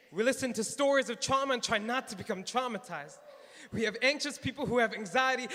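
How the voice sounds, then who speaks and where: A man speaks at a fairly quick pace in a raised, projected voice with ordinary pitch variation. His pitch is extremely high for a man. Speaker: psychiatry resident. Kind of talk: slam poetry performance.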